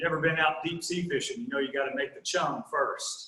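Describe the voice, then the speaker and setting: A man talks with a Southern US accent. His pace is moderate, and room echo is audible. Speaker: guest preacher. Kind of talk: sermon.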